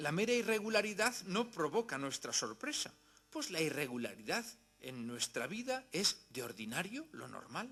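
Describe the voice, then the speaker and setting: A man with a Spanish accent talks at a moderate pace, his high pitch moving through very wide swings. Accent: Spanish (Spain). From Spain. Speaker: philosophy lecturer. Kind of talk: lecture. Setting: university hall with audience.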